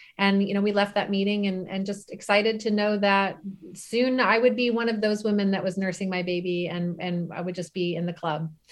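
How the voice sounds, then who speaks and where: With fairly even intonation, a woman speaks at a fairly quick pace and a medium pitch in an unremarkable speaking voice. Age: 40s. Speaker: bereaved mother and author, former attorney. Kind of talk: casual interview.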